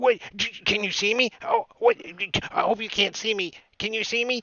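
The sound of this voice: Quietly and at a moderate pace, a man puts on a high-pitched character voice.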